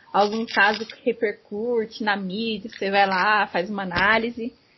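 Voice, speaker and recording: Noticeable background noise runs behind this woman. She speaks at a very slow pace. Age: 20s. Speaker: podcast host. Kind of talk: casual interview chat.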